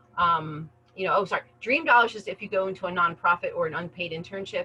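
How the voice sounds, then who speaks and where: Noticeable background noise sits under this recording. A woman with an American accent speaks at a very fast pace. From US East Coast. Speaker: career center adviser. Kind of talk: webinar presentation. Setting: video call. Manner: animated.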